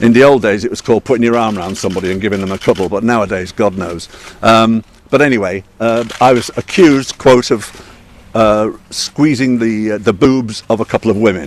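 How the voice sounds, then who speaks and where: A man with a British accent, medium pitch, ordinary pitch variation and a fairly quick pace. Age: 60s. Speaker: radio DJ, broadcaster. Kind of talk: statement to reporters.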